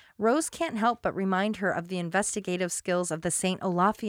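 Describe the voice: The speaker reads aloud. It is plain reading aloud.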